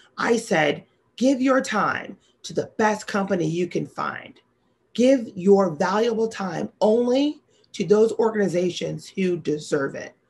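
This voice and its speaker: In an American accent, a woman speaks fairly slowly at a medium pitch, somewhat breathy, with lively intonation and big swings in loudness. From US Midwest, St. Louis suburbs, Missouri; Missouri. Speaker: sales executive. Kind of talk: keynote speech. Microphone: webcam.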